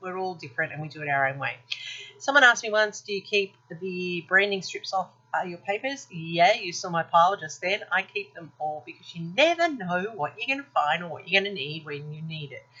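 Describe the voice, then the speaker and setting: Her delivery is fairly quick, with lively intonation, big swings in loudness and a medium pitch for a woman. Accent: Australian. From Australia. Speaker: scrapbooking video creator. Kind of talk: craft tutorial voiceover. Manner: fast; casual, with fillers.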